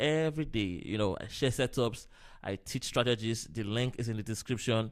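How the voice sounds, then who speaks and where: A man with a normal speaking voice, medium pitch and a moderate pace, on a very clean recording with a silent background. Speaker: forex trader. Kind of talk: live trading tutorial.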